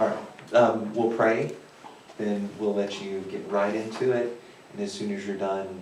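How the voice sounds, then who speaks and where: Over noticeable background noise and audible room echo, a man speaks fairly slowly in a fairly low pitch with monotone, flat intonation. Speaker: teacher. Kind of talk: prayer; moderating a thesis defense. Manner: forced loudness.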